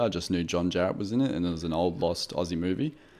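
A man with an Australian accent speaks in a very deep, low voice with lively intonation. The recording is very clean, with a silent background. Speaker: podcast co-host, film reviewer. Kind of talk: casual chat.

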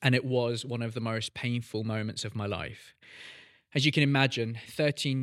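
A man speaks at a moderate pace and a medium pitch, with monotone, flat intonation. The recording is very clean, with a silent background. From South Korea, then Doncaster, Yorkshire from age eleven. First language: Korean. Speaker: podcast host, pastor. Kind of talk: personal testimony. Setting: studio.

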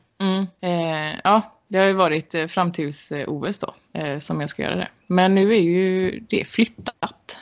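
Using fairly even intonation, a woman speaks at a very slow pace in a medium pitch. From western Sweden, Gothenburg area. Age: 30s. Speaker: Olympic archer. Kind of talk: interview.

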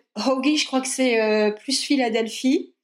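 Speaking at a fairly slow pace, a woman talks in a high pitch. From northern France, Lille. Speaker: language enthusiast. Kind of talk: casual interview. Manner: halting, many fillers.

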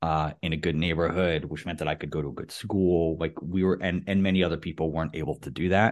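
A man's very deep, low voice in a New York accent, very fast with hardly any pauses and fairly even intonation. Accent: American (New York area). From US, New York City area. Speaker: podcast host. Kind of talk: casual chat. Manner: hesitant, many fillers.

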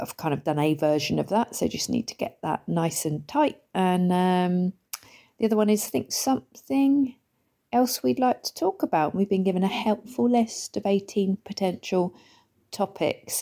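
A woman's dark, mellow tone at medium pitch, with very wide pitch swings at a moderate pace, in a dry, close sound with no echo and a very clean recording with a silent background. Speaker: podcast host and stand-up comedian. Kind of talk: casual solo monologue. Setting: at home on the sofa.

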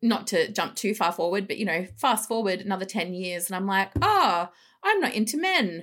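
This woman has a medium pitch and ordinary pitch variation, speaking with an Australian accent at a moderate pace. The recording is very clean, with a silent background. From Melbourne, western suburbs, Australia. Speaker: psychologist and coach. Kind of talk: casual interview.

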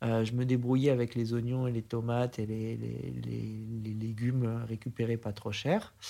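This man has a dark, mellow tone and a monotone, flat intonation, speaking at a fairly slow pace. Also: medium pitch for a man. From France, Aix-en-Provence area. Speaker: investor. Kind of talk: interview. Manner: halting.

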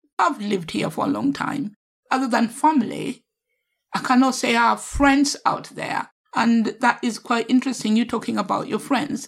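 She is a woman speaking at a moderate pace with vocal fry. Her pitch is fairly high, with ordinary variation. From Kenya. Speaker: podcast host. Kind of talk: podcast interview.

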